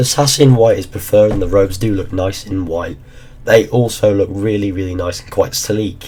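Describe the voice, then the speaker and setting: The pace stays moderate. Intonation is fairly even throughout. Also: man. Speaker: gaming YouTuber. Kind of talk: casual talk to camera.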